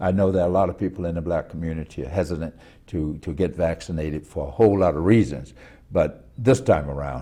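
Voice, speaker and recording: A man talks at a very fast pace in a very deep, low pitch with ordinary pitch variation. His tone is dark and mellow, with vocal fry. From US South, Macon, Georgia. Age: 70s. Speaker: former mayor. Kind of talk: interview.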